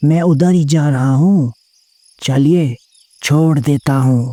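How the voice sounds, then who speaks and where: A put-on character voice with a low-to-middle pitch moves at a fairly slow pace. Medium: audio drama. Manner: deferential, keeps saying sir, with eerie undertone.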